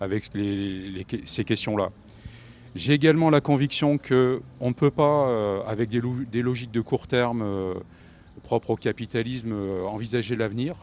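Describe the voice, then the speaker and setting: The sound is dry and close with no echo as a man talks at medium pitch with ordinary pitch variation. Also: fairly slow pace. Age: 50s. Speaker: election candidate, teacher. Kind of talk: campaign interview. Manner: halting.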